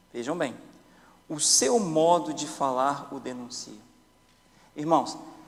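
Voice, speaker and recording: A man with a fairly high voice talks very slowly, leaving long, frequent pauses, his loudness swinging widely amid audible room echo. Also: ordinary pitch variation. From Brazil. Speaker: Sabbath school teacher. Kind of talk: Bible study discussion. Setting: church.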